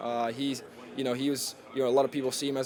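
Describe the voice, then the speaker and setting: Over noticeable background noise, a man talks very fast in a flat monotone. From Germany. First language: German. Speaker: college football player. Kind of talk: press conference interview. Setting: podium with media. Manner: halting, many fillers.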